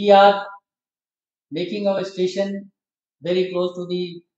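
A man's high-pitched voice with audible room echo and a quiet background. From India. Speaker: retired railway engineer; guest. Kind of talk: presentation. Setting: stage with audience. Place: hall. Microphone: podium.

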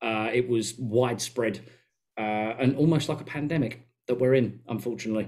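A man with an Essex accent talks at a moderate pace with fairly even intonation against a quiet background. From England. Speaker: podcast co-host. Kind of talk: casual chat. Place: home room. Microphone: headset.

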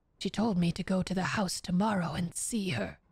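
A somewhat breathy woman's voice, fairly low in pitch, with fairly even intonation and a dry sound free of echo. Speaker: streamer. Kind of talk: reading aloud. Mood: calm, narrative reading tone. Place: home room. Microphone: studio mic.

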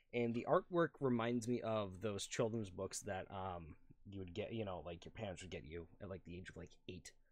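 A man's fairly low voice at a moderate pace, with ordinary pitch variation, hardly any pauses and big swings in loudness. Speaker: gaming youtuber. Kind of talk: casual chat; reading aloud. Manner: hesitant fillers. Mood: relaxed, amused. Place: home room.

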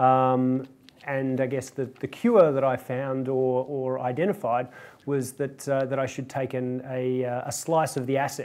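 A man speaks at a fairly slow pace in a monotone, flat intonation. Faint music plays in the background. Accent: Australian. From Australia. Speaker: venture capital investor; guest. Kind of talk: panel discussion. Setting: stage with audience. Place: hall. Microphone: lapel.

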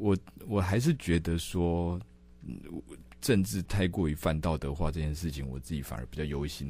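This man's very deep, low voice has a dark, mellow tone and ordinary pitch variation. He talks at a moderate pace in a dry recording with no echo. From Taiwan. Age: 30s. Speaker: political staffer and city council candidate; council candidate. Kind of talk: interview. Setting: studio. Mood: amused, laughing. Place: studio. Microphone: studio mic.

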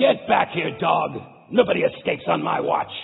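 A man shouts in a gruff, put-on character voice at a moderate pace. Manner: shouting.

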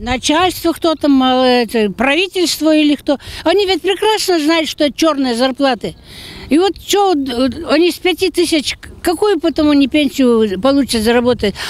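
High-pitched woman at a moderate pace, lively intonation, dry sound with no echo. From Kirov, Russia. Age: old. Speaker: pensioner. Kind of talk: interview answer. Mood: complaining, indignant about wages. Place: waterside. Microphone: handheld.

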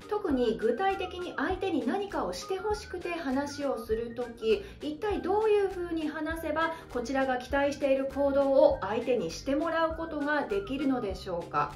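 Over faint music and with audible room echo, a woman speaks at a high pitch with very wide pitch swings. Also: moderate pace, hardly any pauses. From Hokkaido, Japan. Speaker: speaking coach; narrator, former radio announcer. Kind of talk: educational talk to camera. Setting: home living room. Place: home room.

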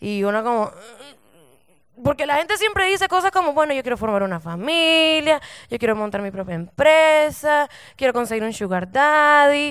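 Delivered at a moderate pace, the voice sits against a quiet background. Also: woman, high pitch for a woman. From Nicaragua. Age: 20s. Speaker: stand-up comedian. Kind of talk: stand-up comedy set. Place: stage. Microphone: handheld.

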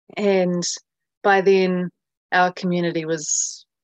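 A woman with a New Zealand accent speaks at a fairly low pitch. The sound is dry with no echo, against a quiet background. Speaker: journalist and documentary filmmaker; journalist. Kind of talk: interview. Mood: earnest, somewhat frustrated. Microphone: video call.

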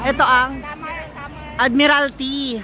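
A woman's raised, projected voice at a high pitch, with crowd noise in the background. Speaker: vlogger. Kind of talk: walking vlog narration. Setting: outdoors. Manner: animated.

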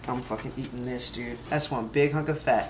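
Over clear background noise, a man with medium pitch talks at a moderate pace and with fairly even intonation.

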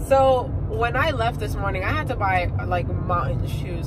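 Loud background noise behind a woman's moderately paced speech. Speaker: travel vlogger. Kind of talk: casual vlog chat. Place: car. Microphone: phone near.

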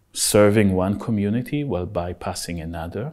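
Against a quiet background, a man with an Israeli accent speaks at a fairly low pitch with ordinary variation and a dark, mellow tone. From Israel (Haifa). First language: Hebrew. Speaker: architect and researcher. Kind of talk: in-depth interview. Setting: studio. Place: empty room.

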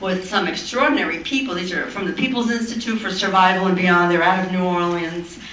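Over noticeable background noise and audible room echo, a woman talks at a moderate pace with medium pitch and ordinary pitch variation. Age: 60s. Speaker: social worker and anti-racism trainer. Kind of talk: personal testimony at a town hall panel. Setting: conference town hall with audience.

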